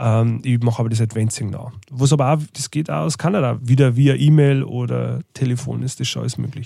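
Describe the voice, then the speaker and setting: A man with a Lower Bavarian accent, somewhat breathy and dark, mellow in tone, at a fairly quick pace with hardly any pauses and ordinary pitch variation. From Bavarian Forest, Lower Bavaria. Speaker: tour manager and record label owner. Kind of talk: casual interview.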